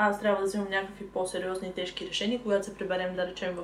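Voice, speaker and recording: Noticeable background noise runs through the clip. The speaker is a woman. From Bulgaria, Sliven. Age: 20s. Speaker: cosmetics maker and law student. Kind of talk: casual chat. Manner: halting.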